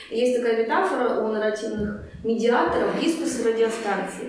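Strong room echo and light background noise surround a woman speaking at a moderate pace. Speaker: workshop leader, psychologist. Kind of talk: lecture. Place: meeting room. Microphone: camera far.

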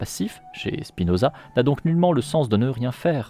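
A man speaks at a fairly slow pace. The sound is dry with no echo, and faint music plays in the background. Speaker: streamer reading a book aloud. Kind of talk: reading aloud from a philosophy book. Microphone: studio mic.

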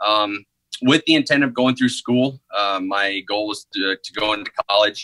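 Light background noise sits under a man's fairly low voice, bright and sharp in tone, with ordinary pitch variation at a moderate pace. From Northeast Missouri, US Midwest. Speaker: army medical recruiter. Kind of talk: interview. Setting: video call. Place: office. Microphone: video call.

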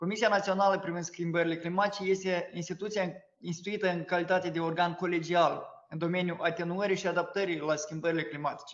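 Here a man talks at a very fast pace and a high pitch. His intonation is monotone and flat. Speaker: government minister. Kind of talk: formal briefing.

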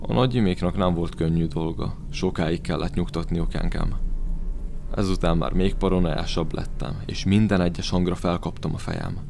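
Against noticeable background noise, a man speaks at a moderate pace, his very deep, low pitch showing ordinary variation. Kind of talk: horror narration, first-person storytelling.

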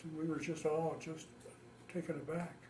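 Light background noise sits behind a man with a Midwestern accent and a fairly high pitch. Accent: general American, Midwestern. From US Midwest, Ohio. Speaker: war veteran. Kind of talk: oral history interview. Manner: halting. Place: home room.

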